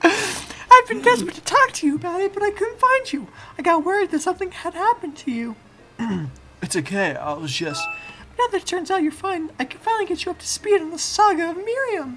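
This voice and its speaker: A female-sounding, put-on character voice at an extremely high pitch. It moves at a fairly quick pace. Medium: solo performance.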